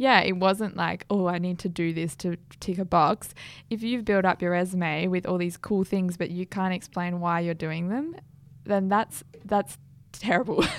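A woman with an Australian accent, medium-pitched, at a moderate pace. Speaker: podcast host and startup founder. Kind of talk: casual chat. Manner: animated.

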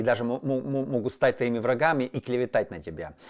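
An ordinary speaking voice at a fairly quick pace, in a very clean recording with a silent background. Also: man. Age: 40s. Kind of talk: monologue video talk.

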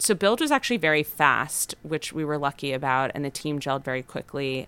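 In an American accent, the speaker has a bright, sharp tone and a fairly quick pace in a very clean recording with a silent background. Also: woman. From Los Angeles, US. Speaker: restaurant founder. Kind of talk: interview.

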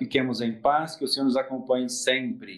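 A man talks at a moderate pace in an unremarkable speaking voice. His pitch varies in an ordinary way. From Espírito Santo, Brazil (Cachoeiro de Itapemirim). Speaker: permanent deacon. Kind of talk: interview.

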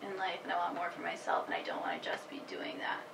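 A woman speaks with audible room echo. Noticeable background noise is present. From Massachusetts, Worcester. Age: 20s. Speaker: young mother. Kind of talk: casual chat. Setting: in person.

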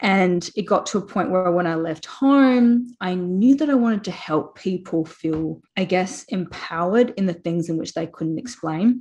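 A woman speaks with an Australian accent and lively intonation. The background is quiet. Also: medium pitch for a woman, moderate pace. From South Australia, Port Pirie. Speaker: spiritual healer. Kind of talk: interview.

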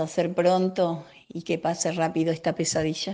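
Fairly slow delivery in a monotone, flat intonation. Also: woman. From Buenos Aires, Villa Soldati. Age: 70s. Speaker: senior community film workshop member. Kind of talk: interview answers.

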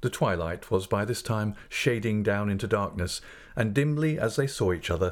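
In an unforced reading voice, the intonation rises and falls lively.

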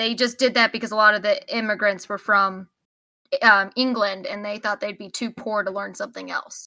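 A woman with an American accent speaks at a moderate pace and a fairly high pitch, her tone bright and sharp. Her intonation is fairly even but her loudness swings widely, on a very clean recording with a silent background. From Texas. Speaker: podcast co-host. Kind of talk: casual chat.

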